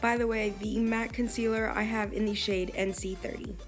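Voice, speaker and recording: Music plays in the background while a woman speaks at a fairly high pitch in a flat, monotone way. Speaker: makeup tutorial host. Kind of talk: makeup tutorial voiceover.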